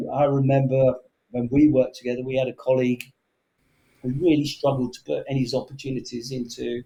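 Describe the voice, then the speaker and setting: In an English accent, the speaker talks at a fairly quick pace with a dark, mellow, somewhat breathy tone and monotone, flat intonation. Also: man, medium pitch for a man. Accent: English, kept after moving to Canada. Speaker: sales executive. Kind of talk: interview conversation. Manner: halting, many fillers.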